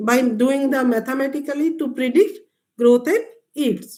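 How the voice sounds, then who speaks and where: A woman speaks with an Indian accent. Her pace is moderate and her pitch varies in an ordinary way. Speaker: agricultural scientist. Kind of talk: lecture. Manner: halting.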